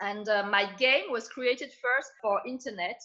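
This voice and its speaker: Bright and sharp in tone, a woman speaks at a fairly high pitch. Her pace is moderate. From France. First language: French. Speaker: entrepreneur. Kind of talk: interview.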